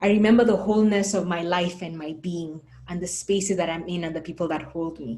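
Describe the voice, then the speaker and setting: This is an unremarkable speaking voice. The woman's pitch sits fairly low. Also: ordinary pitch variation, fairly quick pace. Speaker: panel moderator. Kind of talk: moderated panel discussion.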